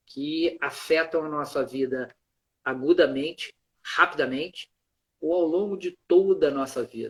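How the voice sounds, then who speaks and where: The sound is dry and close with no echo as a man with a fairly high pitch talks at a moderate pace. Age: 60s. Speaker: emergency doctor. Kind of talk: interview. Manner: halting.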